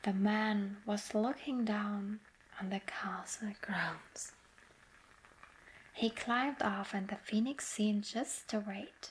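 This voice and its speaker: Amid noticeable background noise, a woman talks very slowly in a fairly high voice with fairly even intonation and long, frequent pauses. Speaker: ASMR artist. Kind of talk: sleep story. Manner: soft-spoken, slow.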